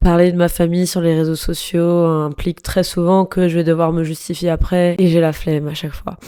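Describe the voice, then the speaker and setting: This woman speaks with a fairly low pitch. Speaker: podcaster. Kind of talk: personal monologue podcast. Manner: casual, hesitant with many fillers.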